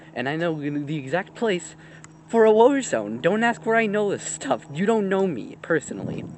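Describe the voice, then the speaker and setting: Against noticeable background noise, a man with a high pitch speaks at a moderate pace, his voice making very wide pitch swings. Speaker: vlogger. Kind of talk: casual vlog talk. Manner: rambling, hesitant.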